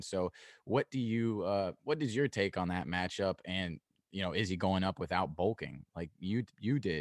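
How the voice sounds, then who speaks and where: A man talks at a moderate pace in a normal speaking voice with a fairly low pitch. The recording is very clean, with a silent background and a dry, close sound with no echo. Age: 20s. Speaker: MMA podcast host. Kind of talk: casual interview.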